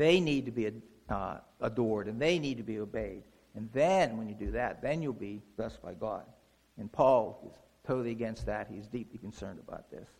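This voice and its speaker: A man's medium-pitched voice with vocal fry, ordinary pitch variation, a fairly quick pace and big swings in loudness. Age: 60s. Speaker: lay preacher. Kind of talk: sermon. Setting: church. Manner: conversational, with frequent fillers.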